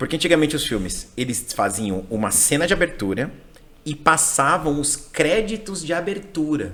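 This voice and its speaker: An animated man speaks at a moderate pace in a fairly high voice with vocal fry and very wide pitch swings. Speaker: English teacher. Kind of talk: casual chat.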